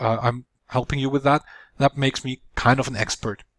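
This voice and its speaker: At a moderate pace, a man speaks with a non-native accent and medium pitch. The sound is dry and close, with no echo. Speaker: video producer. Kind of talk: tutorial. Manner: halting with fillers.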